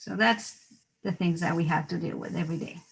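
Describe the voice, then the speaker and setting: A woman with a Mexican accent speaks at a moderate pace in a fairly low, somewhat breathy voice. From Mexico, Mexico City. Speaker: dentist. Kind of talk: interview.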